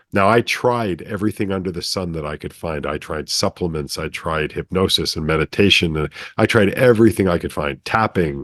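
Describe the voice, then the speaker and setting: A man's very deep, low voice at a moderate pace with ordinary pitch variation, a dry, close sound with no echo, and a quiet background. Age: 60s. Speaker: brainwave entrainment developer. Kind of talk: casual interview storytelling.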